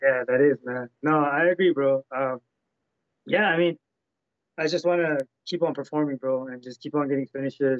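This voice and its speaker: A man with a Canadian accent speaks at a fairly high pitch and a moderate pace, with long, frequent pauses. His intonation is fairly even, in a dry sound with no echo and a quiet background. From Canada. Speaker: professional MMA fighter; interviewee. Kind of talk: interview. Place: home room. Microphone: video call.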